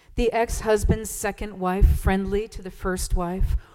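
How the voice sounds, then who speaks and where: Music plays in the background as a woman speaks. Her pace is fairly slow, with ordinary pitch variation. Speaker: church service leader. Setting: church.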